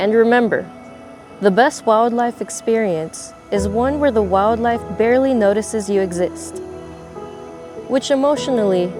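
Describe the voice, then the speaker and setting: The woman talks rather slowly. Background music can be heard behind her. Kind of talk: mockumentary nature narration.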